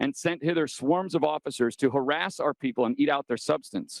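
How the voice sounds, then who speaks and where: At a very fast pace, a man speaks in a fairly high pitch. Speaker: political candidate speaking at public comment. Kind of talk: public comment speech at school board meeting. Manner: impassioned.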